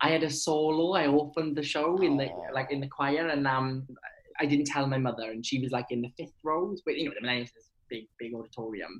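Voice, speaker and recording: In a Welsh accent, a man speaks at a fairly high pitch. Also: ordinary pitch variation, fairly quick pace. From Wales. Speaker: actor. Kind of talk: casual chat. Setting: video call. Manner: animated.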